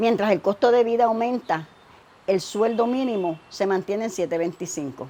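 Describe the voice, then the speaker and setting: A woman speaks fairly slowly at a medium pitch, her tone dark and mellow. Her intonation is lively. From Puerto Rico, Aguas Buenas. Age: 60s. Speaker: audience questioner, grandmother. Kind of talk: prepared question read aloud.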